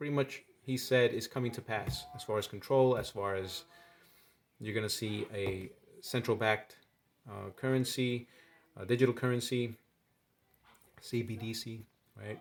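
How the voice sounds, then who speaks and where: Over music in the background, a man of medium pitch speaks with big swings in loudness and long, frequent pauses. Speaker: finance and news commentary youtuber. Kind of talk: casual monologue to camera. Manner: hesitant fillers.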